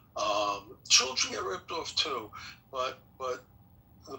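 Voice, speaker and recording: A man with a New York accent at a very slow pace, over noticeable background noise. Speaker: forum participant. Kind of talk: group discussion. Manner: casual, blunt.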